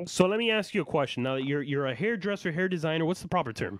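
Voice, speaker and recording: Very fast delivery with lively intonation, in a Miami accent. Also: man, fairly high pitch for a man. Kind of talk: casual, everyday speech.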